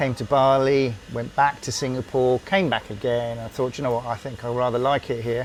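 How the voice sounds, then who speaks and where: A medium-pitched man at a moderate pace, with fairly even intonation and noticeable background noise. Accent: British. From UK. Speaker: former RAF engineer. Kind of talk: interview answer.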